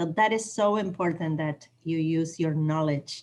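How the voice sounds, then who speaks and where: A woman speaks with a non-native accent at a moderate pace. Her very deep, low voice has a dark, mellow tone. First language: not English. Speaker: training participant, college staff. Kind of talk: video call training discussion.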